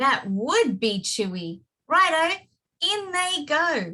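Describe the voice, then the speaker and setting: In a put-on character voice, a woman speaks very slowly and sing-song at a high pitch, her pitch swinging very widely. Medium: read story. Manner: gleeful, sing-song.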